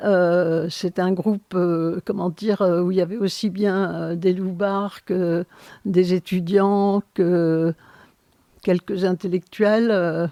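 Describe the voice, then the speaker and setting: At a very slow pace, a woman speaks in a medium pitch with a dark, mellow tone and monotone, flat intonation, the sound dry and close with no echo against a quiet background. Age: 70s. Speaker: sociologist. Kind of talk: interview. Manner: hesitant, many fillers.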